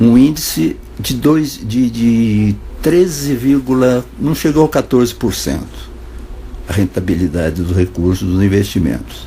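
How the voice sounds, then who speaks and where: Noticeable background noise sits behind a man with a fairly low pitch and very wide pitch swings. He goes at a fairly slow pace with long, frequent pauses. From Brazil. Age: 70s. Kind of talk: informal spoken monologue. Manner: conversational, hesitant.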